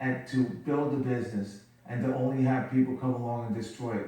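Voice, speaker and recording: Audible room echo and noticeable background noise fill the recording. The speech moves at a moderate pace with monotone, flat intonation. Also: man. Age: 60s. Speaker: company CEO. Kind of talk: TV interview.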